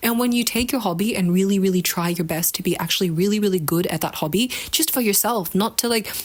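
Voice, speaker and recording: Against noticeable background noise, a woman talks at a very fast pace in a medium-pitched voice with ordinary pitch variation. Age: 20s. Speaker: video blogger. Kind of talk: casual monologue. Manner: casual, filler-heavy; halting.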